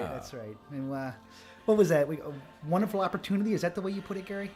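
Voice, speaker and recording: At a very fast pace, a man with a high pitch speaks with lively intonation as music plays in the background. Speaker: home theater cruise host. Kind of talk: casual commentary conversation.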